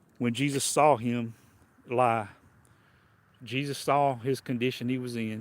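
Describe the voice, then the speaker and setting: The delivery is monotone, with flat intonation. The speaker has a Southern US accent. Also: man. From US South. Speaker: preacher. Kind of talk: sermon. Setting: livestream.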